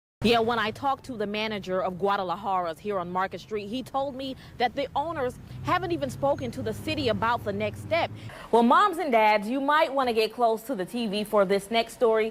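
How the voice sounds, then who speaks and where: A woman's fairly high voice with an American accent, very wide pitch swings and a fairly quick pace over noticeable background noise. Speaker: TV news reporter and anchor. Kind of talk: TV news reporting, anchor read.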